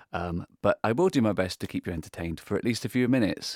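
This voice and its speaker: A man with an unremarkable speaking voice talks at medium pitch with lively intonation. The sound is dry and close with no echo, on a very clean recording with a silent background. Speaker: radio host. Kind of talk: formal newsreading; solo news round-up. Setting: studio. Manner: formal, measured, newsreader delivery; conversational, with filler words.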